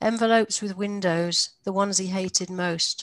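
A woman with an ordinary speaking voice talks at a fairly low pitch and moderate pace, her intonation fairly even, in a dry sound with no echo and a quiet background. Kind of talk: reading aloud from a memoir. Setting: video call. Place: home room. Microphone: headset.

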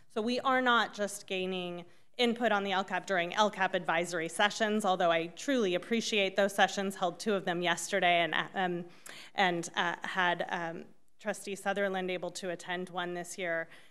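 Her intonation fairly even, a woman talks at a moderate speed. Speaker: school district administrator. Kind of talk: formal presentation. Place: meeting room.

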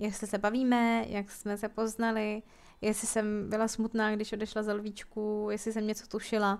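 The delivery keeps a monotone, flat intonation at a moderate pace. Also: woman, fairly high pitch for a woman. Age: 20s. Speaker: gaming YouTuber. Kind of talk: casual Q&A chat while gaming.

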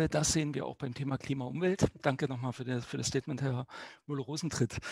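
A somewhat breathy man's voice at a fairly high pitch, dry and close with no echo. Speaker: newspaper journalist moderating a debate. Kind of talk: moderated political debate. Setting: online stream.

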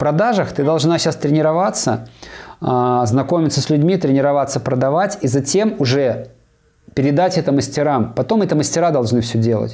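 Against a quiet background, a man with an ordinary speaking voice talks at a moderate pace, his pitch fairly high with ordinary pitch variation and big swings in loudness. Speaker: business coach. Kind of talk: coaching conversation. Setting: video call. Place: office. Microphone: lapel.

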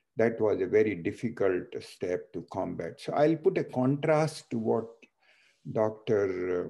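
Speaking fairly slowly with lively intonation, a man with an Indian accent has a medium pitch and a dark, mellow tone against a quiet background. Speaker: transplant surgeon and foundation CEO, moderator. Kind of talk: moderated webinar discussion. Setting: video call. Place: home room. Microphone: video call.

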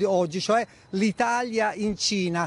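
A man's high voice, dry and close with no echo. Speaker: foreign correspondent. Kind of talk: news reporting. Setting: live link from Shanghai.

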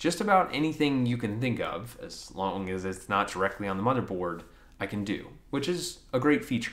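A man's lively intonation at a moderate pace. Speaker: tech video creator. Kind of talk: tech review commentary. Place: home room.

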